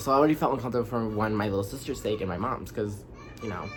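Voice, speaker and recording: Noticeable background noise accompanies speech with an animated tone. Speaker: storytime vlogger. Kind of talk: casual storytelling monologue. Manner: fast.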